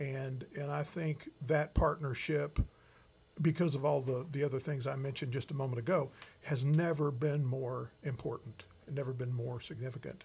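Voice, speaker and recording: A man's somewhat breathy voice at a fairly high pitch. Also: fairly even intonation, moderate pace. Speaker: professor and bishop. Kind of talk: interview.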